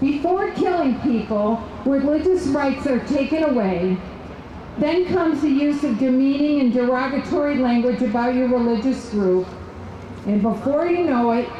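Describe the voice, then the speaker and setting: A woman's high-pitched voice with lively intonation and a moderate pace, amid audible room echo and noticeable background noise. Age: 60s. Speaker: political activist. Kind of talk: rally speech.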